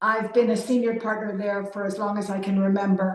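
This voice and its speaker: This woman's voice sits at a fairly high pitch. It carries some breathiness. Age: 60s. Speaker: leadership consultant and speaker. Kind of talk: keynote talk.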